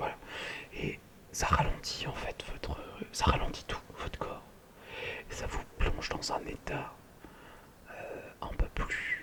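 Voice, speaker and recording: Whispering, a man speaks at a very slow pace with long, frequent pauses. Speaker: ASMR creator. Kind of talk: ASMR meditation and sleep talk. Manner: whispered, soft-spoken, slow.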